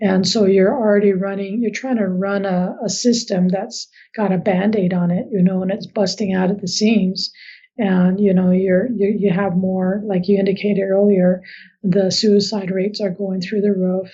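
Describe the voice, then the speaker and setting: Speaking at a moderate pace, a woman has a medium pitch, a somewhat breathy voice and monotone, flat intonation. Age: 50s. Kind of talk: podcast interview.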